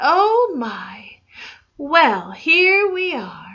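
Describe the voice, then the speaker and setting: A woman's put-on character voice, extremely high in pitch with very wide pitch swings. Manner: yawning.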